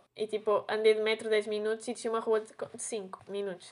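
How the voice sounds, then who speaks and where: A woman's fairly high, flat, monotone voice at a fairly quick pace against a quiet background. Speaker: podcast host, veterinary student. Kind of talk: casual chat.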